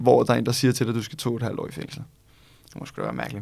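In a very clean recording with a silent background, a man speaks with vocal fry and fairly even intonation. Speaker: law student and podcast co-host. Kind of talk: casual chat.

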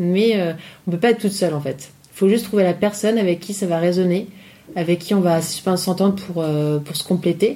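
A woman speaks at a medium pitch with a dark, mellow tone. Her pace is moderate and her pitch varies in an ordinary way. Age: 30s. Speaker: entrepreneur in dance, multipotentialite. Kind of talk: casual chat. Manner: hesitant, many fillers.

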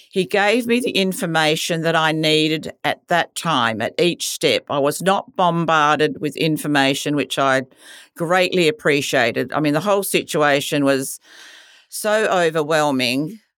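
A woman's very deep, low voice in an Australian accent, fairly slow, lively intonation, very even loudness, on a very clean recording with a silent background. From Western Australia. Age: 70s. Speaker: cancer patient. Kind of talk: testimony.

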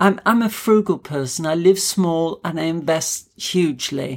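In an English accent, a woman speaks at a very deep, low pitch with ordinary pitch variation. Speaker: clinical hypnotherapist and naturopath. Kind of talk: interview.

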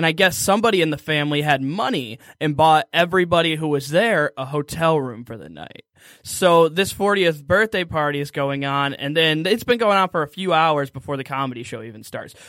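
In a very clean recording with a silent background, a man with an unremarkable speaking voice talks at a fairly quick pace, his pitch fairly high with ordinary variation. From Michigan, Detroit area. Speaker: stand-up comedian. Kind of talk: casual chat.

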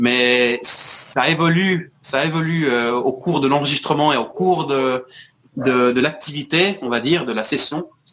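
Speaking very slowly, a man shows ordinary pitch variation. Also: fairly high pitch for a man. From France and Scotland (Paris, Glasgow). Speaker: musician. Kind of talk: interview. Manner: halting, many repetitions.

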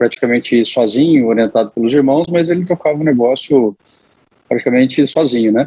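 A man talks in an unremarkable speaking voice, pitched in the medium range. His pace is fairly quick, and his pitch varies in an ordinary way. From Mato Grosso, Brazil. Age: 30s. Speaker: agribusiness manager. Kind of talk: interview. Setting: podcast interview.

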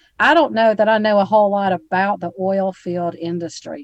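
Lively intonation and a moderate pace mark this voice with an Alabama accent. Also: woman, hardly any pauses. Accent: Southern US (Alabama). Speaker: podcast host. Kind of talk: casual interview.

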